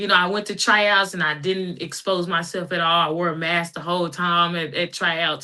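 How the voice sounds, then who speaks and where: Bright, sharp tone at a moderate pace, monotone and flat, with hardly any pauses. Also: woman, fairly low pitch for a woman. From Texas, Dallas. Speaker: women's football player. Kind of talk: interview.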